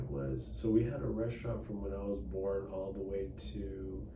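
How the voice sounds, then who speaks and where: A man speaks at a moderate pace in a very deep, low pitch with very wide pitch swings. The recording has audible room echo and noticeable background noise. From Dallas, Texas. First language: Cantonese. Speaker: attorney and political candidate. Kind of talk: interview. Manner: casual, hesitant with fillers.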